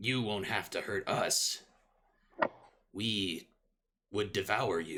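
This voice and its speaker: Using a raspy put-on character voice with a fairly low pitch, a man talks at a very slow pace with long, frequent pauses. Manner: evil, menacing.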